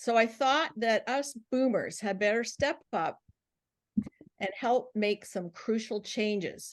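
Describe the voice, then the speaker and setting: A woman with a fairly high pitch speaks at a very slow pace. Her pitch varies in an ordinary way over a quiet background. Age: 70s. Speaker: transformation coach. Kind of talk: webinar talk. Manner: animated.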